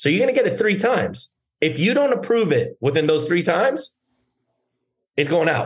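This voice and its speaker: A man's voice with vocal fry. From Germany. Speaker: actor and entrepreneur. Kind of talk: casual interview. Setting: remote call.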